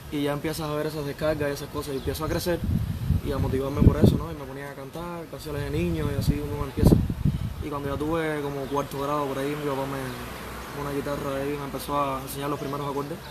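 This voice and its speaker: Over loud background noise, a man talks at a very fast pace in a fairly high pitch with fairly even intonation. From Ciego de Ávila, Cuba; Cuba. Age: 20s. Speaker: singer and songwriter; interviewee. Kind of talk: interview. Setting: outdoor bar terrace. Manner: halting.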